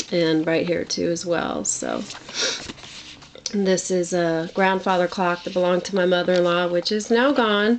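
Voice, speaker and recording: Against noticeable background noise, a woman with a fairly low pitch talks at a moderate pace. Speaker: home video vlogger. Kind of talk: casual video tour. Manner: hesitant, with fillers.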